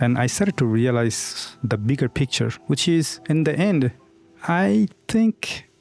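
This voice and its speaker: A man speaks at a fairly slow pace, his pitch swinging very widely while his loudness stays very even. Music plays in the background. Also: medium pitch for a man. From Bangladesh. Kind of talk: personal story told to camera.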